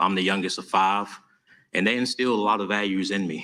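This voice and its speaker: Bright, sharp tone with an Alabama accent, fairly even intonation, and a very clean recording over a silent background. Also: man. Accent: Southern US (Alabama). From US South, Tuscaloosa, Alabama. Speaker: mayoral candidate. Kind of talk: campaign speech at candidate forum.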